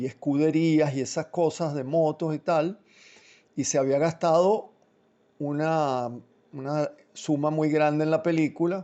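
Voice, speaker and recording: Delivered fairly slowly, the voice holds a fairly even intonation. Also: man. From childhood in Italy and Switzerland, Venezuelan from adolescence. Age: 60s. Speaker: film director. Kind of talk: interview. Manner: halting, many fillers and repetitions.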